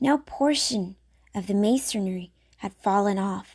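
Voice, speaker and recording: A woman speaks at a fairly slow pace, somewhat breathy and with ordinary pitch variation, in a dry, close sound with no echo on a very clean recording with a silent background. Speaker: audiobook reader. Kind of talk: classic story reading.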